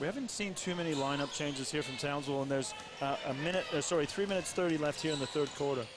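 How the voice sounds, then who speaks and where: Noticeable background noise sits behind a man talking at a very fast pace. His fairly high voice shows ordinary pitch variation. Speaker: basketball commentator. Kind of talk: live sports commentary.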